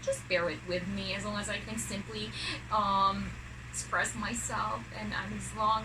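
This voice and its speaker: A woman with a Filipino accent speaks at a fairly slow pace. Noticeable background noise and audible room echo surround her voice. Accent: Filipino (Bisaya) accent, non-fluent English. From Philippines, Mindanao. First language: Cebuano (Bisaya). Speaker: vlogger. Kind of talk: unboxing vlog. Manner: halting.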